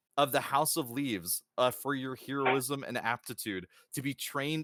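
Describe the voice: Plain reading aloud with fairly even intonation over a quiet background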